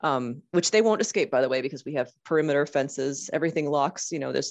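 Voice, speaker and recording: With an American accent, a woman talks at a very fast pace in a very deep, low voice with ordinary pitch variation, against a quiet background. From Boston area. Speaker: wildcat rescue worker. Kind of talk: casual interview.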